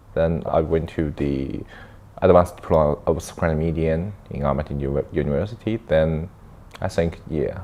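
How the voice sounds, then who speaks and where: Over noticeable background noise, a man with a Chinese accent speaks at a moderate pace in a very deep, low pitch with fairly even intonation. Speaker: filmmaker and camera operator. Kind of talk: interview. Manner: halting, with many fillers and self-corrections.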